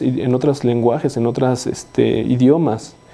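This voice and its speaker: Over noticeable background noise, a man talks at a medium pitch and a fairly slow pace. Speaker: bible study leader. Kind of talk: bible study teaching. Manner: halting, many repetitions.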